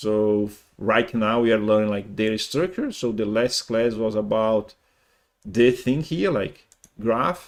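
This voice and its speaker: A man with a Brazilian Portuguese accent, medium in pitch with ordinary pitch variation, at a fairly slow pace, on a very clean recording with a silent background. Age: 50s. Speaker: programming teacher. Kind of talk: lecture. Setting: live stream. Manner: halting.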